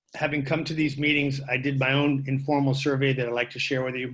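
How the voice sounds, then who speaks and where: A man's medium-pitched voice with an American accent, monotone and flat in intonation. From Marin County, California. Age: 60s. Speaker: public commenter at board meeting. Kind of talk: public comment.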